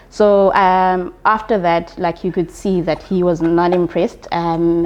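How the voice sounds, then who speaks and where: Speaking at a fairly slow pace, a woman keeps a fairly low pitch and a monotone, flat intonation. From South Africa, Eastern Cape. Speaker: accountant. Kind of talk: interview.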